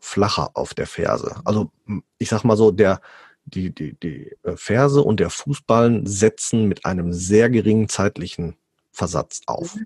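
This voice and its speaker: At a fairly slow pace, a man speaks in a fairly low pitch with ordinary pitch variation. The sound is dry and close, with no echo. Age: 30s. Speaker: police officer and barefoot coach. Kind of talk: interview. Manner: hesitant, many fillers.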